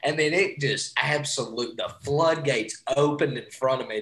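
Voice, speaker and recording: A man with an East Tennessee accent speaks at a moderate pace. His voice is fairly high with ordinary pitch variation. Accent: Southern US (East Tennessee). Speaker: sports podcast co-host. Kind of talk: casual chat. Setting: remote call.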